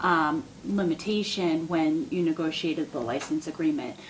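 A woman's unremarkable speaking voice, fairly low in pitch, at a moderate pace over light background noise. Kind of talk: meeting explanation. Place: meeting room. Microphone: podium.

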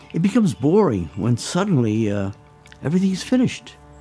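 Faint music plays in the background as a man talks at a moderate pace. His pitch swings very widely. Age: 80s+. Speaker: guitar maker. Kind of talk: documentary interview answer. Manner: hesitant, reflective. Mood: reflective, gentle, hesitant. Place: workshop.

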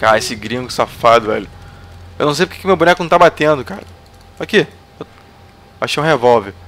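A man with a Brazilian accent speaks very fast at a fairly high pitch, with lively intonation. His loudness swings widely, and he takes long, frequent pauses. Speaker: gaming youtuber. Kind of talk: gameplay commentary. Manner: animated. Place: home room. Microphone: headset.

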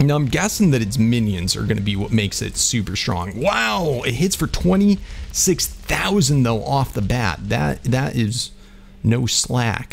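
With very wide pitch swings, the voice moves at a fairly slow pace over noticeable background noise. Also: man, medium pitch for a man. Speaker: gaming YouTuber. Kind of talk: gameplay commentary. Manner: animated.

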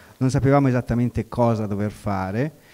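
Dark, mellow male voice with ordinary pitch variation over a quiet background. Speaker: workshop participant. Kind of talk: classroom exercise. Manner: hesitant. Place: hall. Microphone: handheld.

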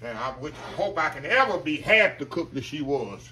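The man's delivery moves along at a moderate speed. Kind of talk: casual cooking tutorial chat. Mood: warm, nostalgic about his mother. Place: kitchen. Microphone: phone near.

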